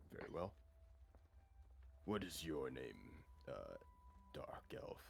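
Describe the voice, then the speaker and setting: A man performs a put-on character voice at a fairly slow pace. Clear background noise runs underneath. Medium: actual play. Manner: formal, stately.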